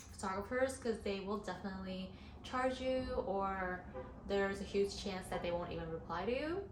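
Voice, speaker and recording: Amid noticeable background noise and audible room echo, a woman talks at a medium pitch and moderate pace with ordinary pitch variation. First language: not English. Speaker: model and content creator. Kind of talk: tutorial. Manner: casual, many fillers.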